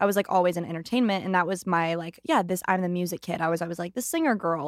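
On a very clean recording with a silent background, a woman with an American accent speaks very fast at a fairly low pitch. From US West Coast. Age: 20s. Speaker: country singer. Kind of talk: casual chat. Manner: fast talker.

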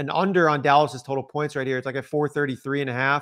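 A man at a fairly high pitch and a very fast pace, in a very clean recording with a silent background. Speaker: podcast co-host, betting analyst.

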